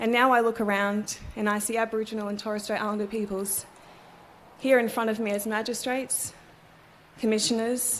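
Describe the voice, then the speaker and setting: Long, frequent pauses mark this woman's speech in a monotone, flat intonation. Her pitch is fairly high, with audible room echo. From Australia, Cairns, Far North Queensland. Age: 30s. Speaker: barrister and ceremony speaker. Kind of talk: formal ceremonial speech. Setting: courthouse ceremony with audience. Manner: formal.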